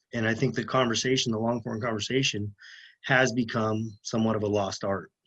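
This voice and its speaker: This man speaks in a flat monotone at a moderate pace. His pitch is medium, and the background is quiet. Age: 30s. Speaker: lineman, former police officer. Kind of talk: podcast interview.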